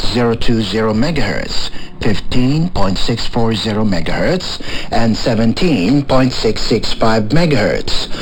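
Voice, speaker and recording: Noticeable background noise sits behind a man's voice. He speaks at a medium pitch and a fairly slow pace, with lively intonation. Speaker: radio announcer. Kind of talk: radio broadcast announcement.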